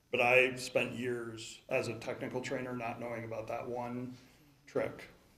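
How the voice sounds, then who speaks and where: A man with an American accent at a medium pitch, fairly slow and monotone, with flat intonation and audible room echo. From Chicagoland, Illinois. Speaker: conference speaker. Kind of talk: conference talk.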